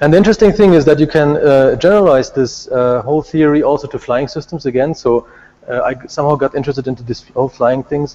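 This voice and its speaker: A man talks at a very fast pace with a fairly high pitch. His tone is dark and mellow, with ordinary pitch variation. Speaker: robotics researcher. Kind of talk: conference talk.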